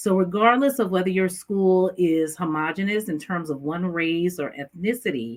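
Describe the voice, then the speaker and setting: With an American accent, a woman speaks at a moderate pace and medium pitch, her intonation lively and her delivery hardly pausing. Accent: New York accent, comes out when excited. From New York. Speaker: education specialist. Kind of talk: interview.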